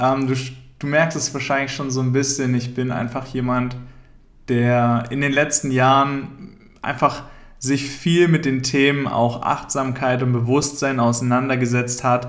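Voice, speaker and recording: A man speaks with monotone, flat intonation. Room echo is audible. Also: medium pitch for a man, fairly slow pace. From Thuringia, Germany (rural village). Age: 30s. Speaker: podcaster. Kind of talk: solo podcast monologue.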